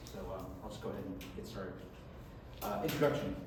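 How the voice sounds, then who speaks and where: A very fast pace amid noticeable background noise and audible room echo. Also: man. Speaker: academic presenter. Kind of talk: reading a paper aloud. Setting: conference talk with audience.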